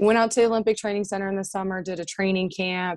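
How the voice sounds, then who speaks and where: In a dry, close sound with no echo and a quiet background, a woman speaks with a Midwestern US accent. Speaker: former wrestler and military servicemember. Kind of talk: casual interview chat.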